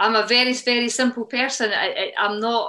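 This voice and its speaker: A woman is talking with a Scottish accent. She keeps a moderate pace. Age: 50s. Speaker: CrossFit gym co-owner. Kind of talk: podcast interview answer.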